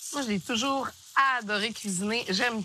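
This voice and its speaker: A woman speaks in a bright, sharp tone. Her pace is moderate. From Quebec, Gaspésie. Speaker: cooking show host. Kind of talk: casual chat on cooking show.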